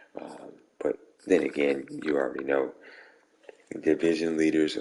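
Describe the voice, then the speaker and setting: A man speaks quietly at a moderate pace. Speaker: video game streamer. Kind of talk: casual gaming recap to viewers. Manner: quiet, hushed.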